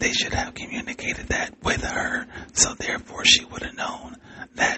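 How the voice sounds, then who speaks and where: The speaker whispers over noticeable background noise. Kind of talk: podcast monologue. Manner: whispered.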